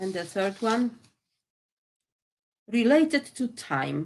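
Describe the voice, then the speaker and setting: Speaking in a Polish accent, a woman goes at a very slow pace. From Poland. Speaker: poet. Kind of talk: poetry reading.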